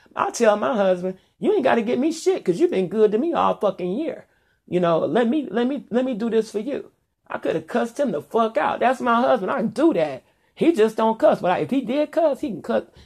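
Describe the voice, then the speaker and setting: Over a quiet background, a woman with a fairly high voice and vocal fry talks at a fairly quick pace, her pitch swinging very widely. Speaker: vlogger. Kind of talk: casual monologue. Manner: loud; animated.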